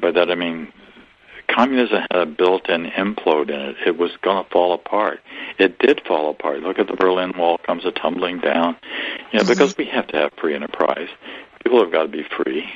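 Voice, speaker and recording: A man's very deep, low voice moves fairly quickly while noticeable background noise carries on behind it. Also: ordinary pitch variation. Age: 70s. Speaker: author and spiritual teacher. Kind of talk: interview.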